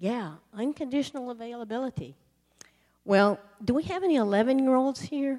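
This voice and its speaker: A woman with an American accent and a high pitch, lively intonation, a moderate pace, and long, frequent pauses. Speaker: missionary sharing testimony. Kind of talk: sermon testimony. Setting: church.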